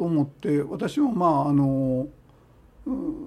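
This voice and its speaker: A man's pitch swings very widely as he talks very slowly against noticeable background noise. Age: 70s. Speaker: Shinto shrine chief priest. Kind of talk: radio interview. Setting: radio studio. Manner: halting, many fillers.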